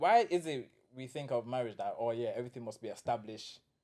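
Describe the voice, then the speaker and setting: A man with a London accent, very wide pitch swings and a fairly quick pace. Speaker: podcast co-host. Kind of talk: casual chat. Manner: animated.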